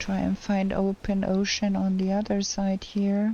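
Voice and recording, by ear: At a fairly slow pace, a woman speaks in a dark, mellow tone at a medium pitch, her intonation monotone and flat.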